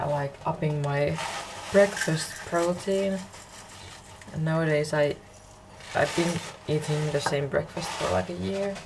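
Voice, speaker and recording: Over noticeable background noise, a woman with a very deep, low pitch speaks with lively intonation and long, frequent pauses. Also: fairly slow pace. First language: Finnish. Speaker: university student, vlogger. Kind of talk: vlog narration. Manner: halting.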